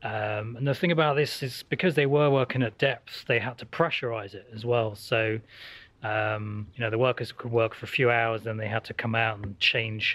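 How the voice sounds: The man's voice sits at a fairly low pitch, with a fairly bright tone and little pitch movement.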